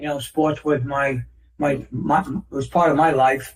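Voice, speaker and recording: A man talks at a moderate pace with an American accent. His voice is somewhat breathy. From New York City. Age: 60s. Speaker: author on natural health. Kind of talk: interview. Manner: halting, repeats words.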